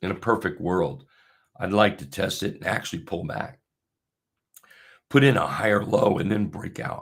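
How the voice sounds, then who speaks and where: Using a put-on character voice, a man speaks hoarse and raspy at a fairly low pitch and moderate pace, with very wide pitch swings and long, frequent pauses. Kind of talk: casual trading commentary.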